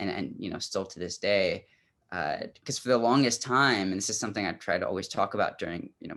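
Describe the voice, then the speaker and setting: In an American accent, a man talks at a very fast pace against a quiet background. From Iraq, then US. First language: Arabic. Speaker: poet and author. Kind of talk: interview. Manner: hesitant, many fillers.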